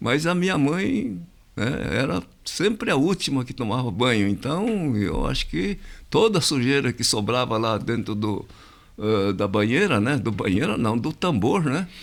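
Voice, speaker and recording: Over a very clean recording with a silent background, a man at medium pitch talks at a fairly slow pace with very wide pitch swings. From Brazil, interior of São Paulo state. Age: 80s+. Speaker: community association president. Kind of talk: interview. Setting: podcast studio. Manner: hesitant, many fillers.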